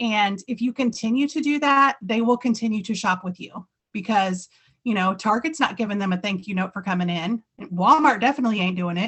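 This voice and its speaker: A woman talks at a fairly quick pace. Her voice sits fairly high and shows ordinary pitch variation. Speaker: direct sales team leader. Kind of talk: training talk. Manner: animated.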